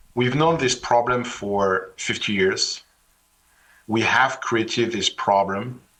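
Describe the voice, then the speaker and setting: A man with a French accent has a bright, sharp tone. He speaks at a very slow pace with ordinary pitch variation. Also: medium pitch for a man. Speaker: finance executive and author. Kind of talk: panel discussion.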